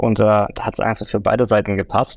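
Vocal fry marks a man's fairly low voice as he speaks at a fairly quick pace in a dry, close sound with no echo. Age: 30s. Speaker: forensic consultant, former police officer. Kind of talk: interview.

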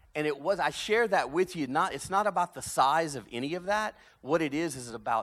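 Over a very clean recording with a silent background, a man speaks with a Louisiana accent. His pace is moderate and his intonation lively. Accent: Cajun Southern US. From South Louisiana, Cajun. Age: 50s. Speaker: pastor. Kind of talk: sermon. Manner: animated.

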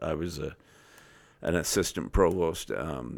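A man with a very deep, low pitch and vocal fry speaks at a fairly slow pace. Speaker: university president. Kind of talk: casual podcast interview.

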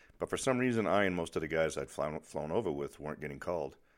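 Vocal fry runs through this very fast delivery in an American accent, with ordinary pitch variation. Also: man. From Boston, US. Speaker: podcaster and author. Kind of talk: reading aloud from own memoir.

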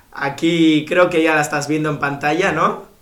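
A man speaks at a fairly slow pace in a fairly high pitch. His intonation stays fairly even over noticeable background noise. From Bilbao, Spain. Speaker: podcast host. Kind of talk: casual chat.

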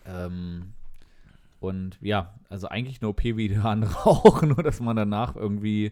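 A man's dark, mellow tone, fairly low in pitch, at a moderate pace with ordinary pitch variation and big swings in loudness. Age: 30s. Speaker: podcast co-host, computer scientist. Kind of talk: casual chat over beer.

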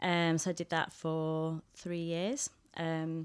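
On a very clean recording with a silent background, a woman speaks with a Mancunian accent at a fairly low pitch. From Manchester, northern England. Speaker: theology hub director. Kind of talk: casual interview chat.

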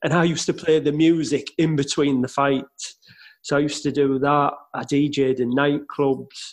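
An ordinary speaking voice at a fairly slow pace. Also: man. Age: 40s. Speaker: podcast host and car dealer. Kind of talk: casual interview chat.

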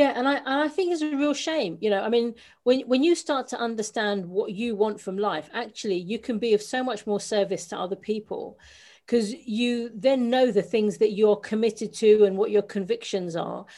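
With a London accent, this dark, mellow voice moves at a moderate pace with ordinary pitch variation on a very clean recording with a silent background. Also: woman, fairly high pitch for a woman. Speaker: business coach and author. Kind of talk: interview.

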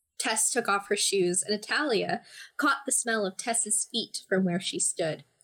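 An unforced reading voice carries over a quiet background.

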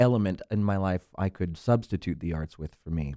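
A man's very deep, low voice with a dark, mellow tone and an American accent, ordinary pitch variation, moderate pace, dry, close sound with no echo, and a very clean recording with a silent background. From Central Florida. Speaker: actor and guest co-host. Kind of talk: casual chat. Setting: studio.

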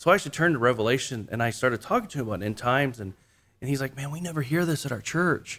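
A man rattles off his words at a very fast pace. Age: 40s. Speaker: church planter. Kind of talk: casual interview.

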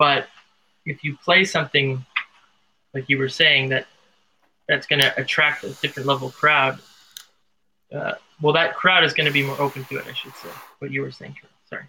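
A man talks at a fairly quick pace in a fairly high pitch, his tone bright and sharp with fairly even intonation. His loudness swings widely, and he leaves long, frequent pauses. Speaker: tango radio show host and DJ. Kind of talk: casual chat. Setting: call-in radio show, remote.

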